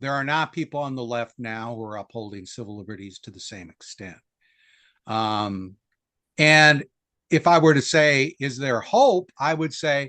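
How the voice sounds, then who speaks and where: A man with an American accent and an ordinary speaking voice talks at a moderate pace and medium pitch. His intonation is lively and his loudness swings a lot. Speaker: historian. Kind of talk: interview.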